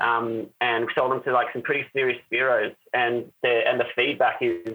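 A man speaks in an Australian accent, his voice at a medium pitch. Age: 30s. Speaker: spear gun maker. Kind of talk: casual interview. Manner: animated.

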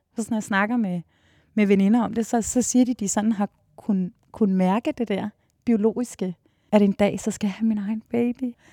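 A woman's fairly high, dark, mellow, somewhat breathy voice at a moderate pace, with fairly even intonation and a dry, close sound with no echo. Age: 40s. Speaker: dance teacher. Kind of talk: interview.

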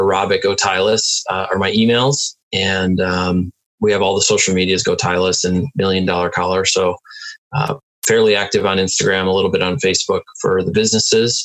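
Keeping his loudness very even, a man with an American accent talks at a moderate pace. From Milwaukee, Wisconsin. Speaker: entrepreneur and inventor. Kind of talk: interview conversation. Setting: home office.

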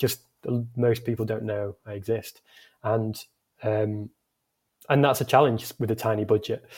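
Speaking at a fairly slow pace, a man with a medium pitch delivers his words in a flat monotone that is somewhat breathy. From northern England, Scunthorpe (Lincolnshire). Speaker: founder and designer of an outdoor clothing brand. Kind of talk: casual interview chat.

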